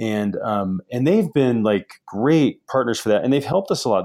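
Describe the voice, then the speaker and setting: An ordinary speaking voice, this man talks at medium pitch with lively intonation. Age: 40s. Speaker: company founder and CEO. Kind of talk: interview.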